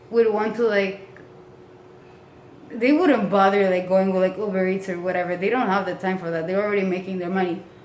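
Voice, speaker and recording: Noticeable background noise and audible room echo surround a woman talking at a fairly quick pace. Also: medium pitch for a woman. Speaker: vlogger. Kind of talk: casual rant to camera. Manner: fast; animated.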